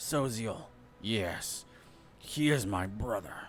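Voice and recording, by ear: Over music in the background and with an audible echo, a man at medium pitch uses a put-on character voice that is hoarse, wheezy and raspy, speaking at a very slow pace.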